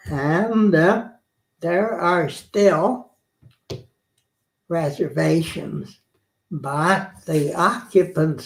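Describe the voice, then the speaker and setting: A man with an American accent and a fairly high pitch talks at a very slow pace. He leaves long, frequent pauses. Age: 90s. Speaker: historian. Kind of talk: interview.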